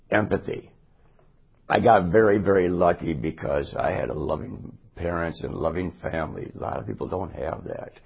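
Very deep, low male voice with vocal fry, a moderate pace and ordinary pitch variation. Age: 60s. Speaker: city council candidate. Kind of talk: candidate interview.

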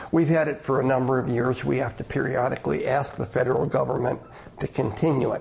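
A man with an American accent talks at a very fast pace in a medium pitch, his intonation fairly even, over noticeable background noise. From Madison, Wisconsin. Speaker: retired state official. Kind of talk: radio interview.

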